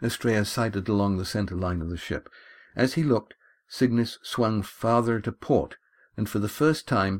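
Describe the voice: This plain reading aloud moves through ordinary changes in pitch.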